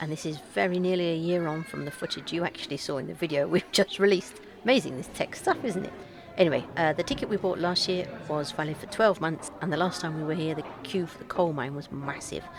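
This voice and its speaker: Over music in the background, a woman with a fairly low pitch talks at a very fast pace with lively intonation. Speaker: travel vlogger. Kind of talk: casual vlog narration. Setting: cafe.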